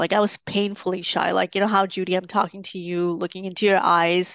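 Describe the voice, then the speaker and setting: With a dry, close sound and no echo, a woman speaks at a moderate pace and medium pitch in a monotone, flat way. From Pakistan, raised also in Egypt, UAE and Canada. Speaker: theatre artist and community builder. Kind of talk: interview conversation. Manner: halting, many fillers.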